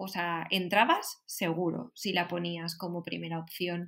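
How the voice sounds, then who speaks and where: A woman in a Valencian accent, at a fairly slow pace. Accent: Valencian Spanish (Spain). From Valencia, Spain. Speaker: illustrator and designer. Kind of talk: casual chat.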